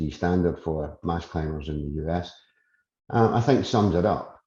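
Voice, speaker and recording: In a Scottish accent, a man with a very deep, low pitch and a dark, mellow, somewhat breathy tone talks at a moderate pace with ordinary pitch variation over a quiet background. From Scotland. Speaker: industry expert, committee chairman. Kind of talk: webinar presentation. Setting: online webinar.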